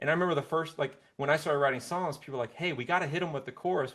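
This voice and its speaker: A man's voice, very clean recording, silent background. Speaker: singer-songwriter. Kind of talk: interview. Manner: soft-spoken.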